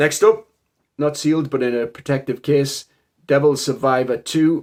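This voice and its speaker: Moderate pacing and ordinary pitch variation from a man with a fairly high voice. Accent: strong Geordie. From northern England, Newcastle area. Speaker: game collector YouTuber. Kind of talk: casual collection showcase.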